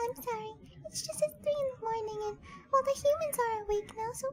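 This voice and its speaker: Clear background noise sits behind a woman doing a squeaky, put-on character voice at an extremely high pitch and a fairly quick pace. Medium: voice reel. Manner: drowsy, grudging.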